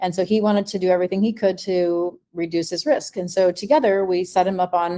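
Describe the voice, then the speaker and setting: A woman talks at a medium pitch with fairly even intonation and a dark, mellow tone. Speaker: health practitioner. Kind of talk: webinar presentation. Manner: fast.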